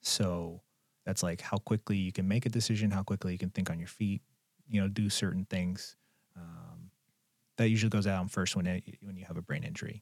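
In an ordinary speaking voice, a man talks at a fairly quick pace and a fairly low pitch with ordinary pitch variation, the sound dry and close with no echo, the recording very clean and the background silent. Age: 30s. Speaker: psychologist. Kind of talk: casual chat. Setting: studio.

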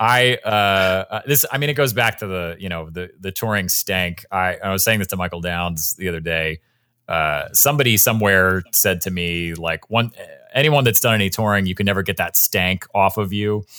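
Very deep, low pitch from a man, in a very clean recording with a silent background. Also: ordinary pitch variation, moderate pace. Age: 30s. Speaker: podcast host. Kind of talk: interview.

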